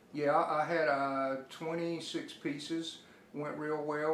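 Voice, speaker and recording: A man with an Alabama accent in a monotone, flat intonation, amid audible room echo and noticeable background noise. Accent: Alabama Southern US. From US South, Birmingham, Alabama. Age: 60s. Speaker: artist and illustrator. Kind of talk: interview. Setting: artist's studio. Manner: halting, with frequent repetitions.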